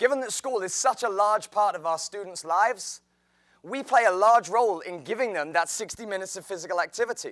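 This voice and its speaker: A man with a high pitch and an English accent speaks at a fairly quick pace with ordinary pitch variation and big swings in loudness, on a very clean recording with a silent background. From England, outside London. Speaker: teacher. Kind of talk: presentation talk.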